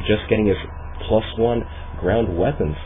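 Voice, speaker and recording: A man's fairly low voice comes through with noticeable background noise around it. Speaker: amateur esports caster. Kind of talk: esports play-by-play commentary. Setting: home microphone recording.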